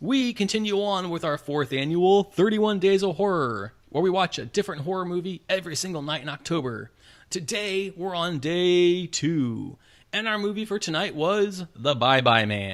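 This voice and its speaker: On a very clean recording with a silent background, a man with an American accent speaks at a high pitch with lively intonation. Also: moderate pace. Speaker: film review podcast host. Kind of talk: casual review chat.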